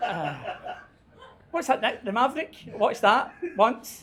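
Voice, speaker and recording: A man with a Scottish accent, an extremely high pitch, ordinary pitch variation and an animated tone. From Scotland. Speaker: book club organizer. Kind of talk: casual chat.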